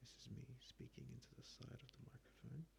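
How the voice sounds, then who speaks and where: A man whispers at a moderate pace. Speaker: ASMR creator. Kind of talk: ASMR talk to camera. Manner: soft-spoken.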